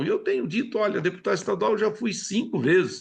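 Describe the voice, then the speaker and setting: A man is speaking. The background is quiet. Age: 70s. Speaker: politician. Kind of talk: TV interview.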